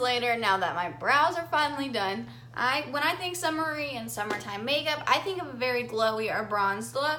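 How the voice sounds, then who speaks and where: Audible room echo hangs around this woman's speech. She keeps a moderate pace. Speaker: makeup vlogger. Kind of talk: tutorial. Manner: casual, chatty.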